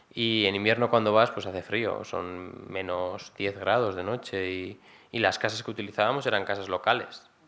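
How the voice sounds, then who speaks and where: A man with a fairly low pitch and a bright, sharp tone speaks in a monotone, flat way at a moderate pace. The recording is very clean with a silent background. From Basque Country, Gipuzkoa. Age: young. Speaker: engineer in development cooperation. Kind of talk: talk Q&A with audience. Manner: hesitant, many fillers.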